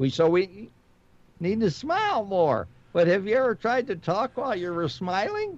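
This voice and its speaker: With noticeable background noise behind him, a man with a high voice talks at a moderate pace with lively intonation. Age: 70s. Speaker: radio show host. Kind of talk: casual radio chat.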